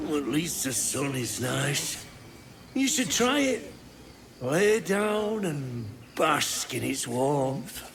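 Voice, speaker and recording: A man performs a put-on character voice at a fairly high pitch and a very slow pace. Clear background noise sits behind him. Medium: video game.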